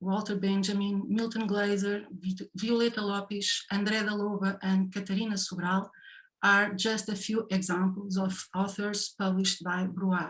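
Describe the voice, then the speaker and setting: A woman with a Portuguese accent, somewhat breathy, medium-pitched, moderate in pace, with monotone, flat intonation. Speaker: session chair and design professor. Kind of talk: formal introduction of speakers. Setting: online session. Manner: reading from notes, with hesitations.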